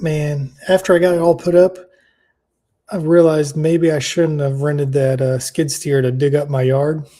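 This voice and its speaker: A man's fairly high, somewhat breathy voice with a dark, mellow tone, fairly even intonation and a moderate pace, on a very clean recording with a silent background. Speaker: crypto show co-host. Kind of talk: casual chat. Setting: live stream. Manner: stumbling over words.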